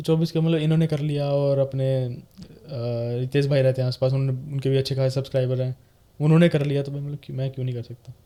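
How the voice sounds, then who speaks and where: Monotone and flat, a man speaks in a dark, mellow tone. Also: fairly high pitch for a man. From India. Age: 20s. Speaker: gaming YouTuber. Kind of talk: casual chat.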